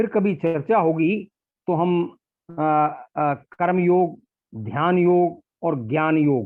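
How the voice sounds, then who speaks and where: A man speaks in a high pitch. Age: 60s. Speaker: retired bank manager and yoga trainer. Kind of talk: interview.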